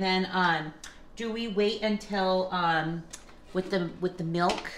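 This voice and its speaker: A woman's voice with audible room echo. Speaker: home cooking vlogger. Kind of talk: casual vlog chat. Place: kitchen. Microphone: phone near.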